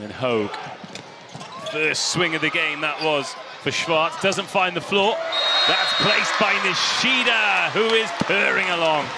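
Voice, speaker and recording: A man's high, enthusiastic voice with lively intonation, a fairly slow pace, long and frequent pauses, and noticeable background noise. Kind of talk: live sports commentary. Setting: commentary booth over match broadcast. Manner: enthusiastic, gushing with praise.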